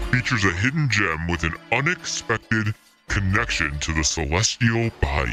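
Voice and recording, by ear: A man performs in a put-on character voice at a moderate pace, his pitch swinging very widely. Faint music plays in the background.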